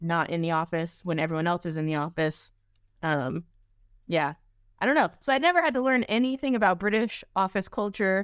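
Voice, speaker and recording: Someone with an American accent talks at a fairly quick pace in an unremarkable speaking voice with lively intonation, recorded very cleanly against a silent background. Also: woman, fairly low pitch for a woman. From US, Washington DC area. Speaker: podcaster, tech support worker. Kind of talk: casual chat.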